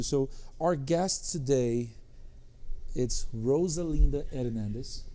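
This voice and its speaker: A man's fairly high voice with a dark, mellow tone and a strong non-native accent. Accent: foreign accent, strong. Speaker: podcast host, tech company executive. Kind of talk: podcast interview.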